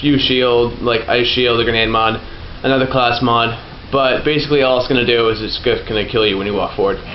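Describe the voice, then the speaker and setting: Talking at a fairly quick pace, a man is heard over noticeable background noise with audible room echo. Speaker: gaming YouTuber. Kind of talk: let's play commentary.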